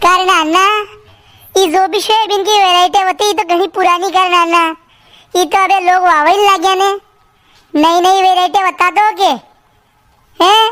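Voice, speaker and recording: In a put-on character voice, the speaker keeps a monotone, flat intonation at a moderate pace. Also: woman. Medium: comedy sketch. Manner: chatty, joking, rustic.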